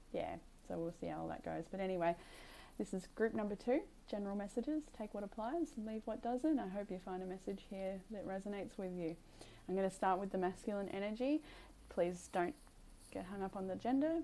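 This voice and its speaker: A soft-spoken woman's voice at medium pitch, dark and mellow in tone, with lively intonation and a fairly quick pace. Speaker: tarot reader. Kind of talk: tarot reading. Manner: halting. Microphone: new mic setup to be clearer and louder.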